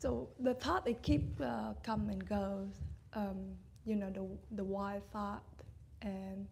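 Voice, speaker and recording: A woman speaks very slowly, leaving long, frequent pauses. Room echo is audible. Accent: Vietnamese. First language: Vietnamese. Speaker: meditation student. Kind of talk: dharma talk sharing. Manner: halting.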